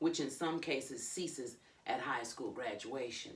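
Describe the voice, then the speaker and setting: A woman speaks with an American accent. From New York. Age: 70s. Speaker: minister. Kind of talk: audiobook reading by author.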